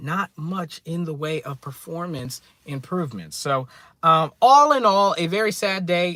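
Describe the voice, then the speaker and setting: A loud man speaks with lively intonation and a bright, sharp tone. The recording is very clean and dry, close with no echo, against a silent background. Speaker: tech YouTuber. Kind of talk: live stream commentary. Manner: loud, ranting.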